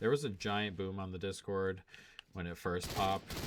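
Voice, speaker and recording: A plain, everyday voice from a man, fairly low-pitched, at a moderate pace. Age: 30s. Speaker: gaming and sports betting streamer. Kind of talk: casual live-stream chat. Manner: casual, filler-heavy.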